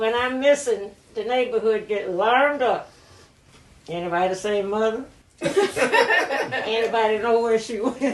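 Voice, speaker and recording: A woman with an American accent and a fairly high pitch, at a fairly slow pace, amid noticeable background noise. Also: ordinary pitch variation. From rural North Carolina, Columbus County. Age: 80s+. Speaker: elder interviewee. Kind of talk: oral history interview. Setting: at her home.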